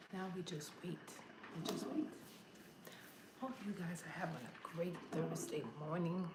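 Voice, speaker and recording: A woman speaks quietly at a fairly slow pace and a fairly low pitch, with ordinary pitch variation and long, frequent pauses. Noticeable background noise and audible room echo are present. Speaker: home cooking vlogger. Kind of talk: casual vlog chat.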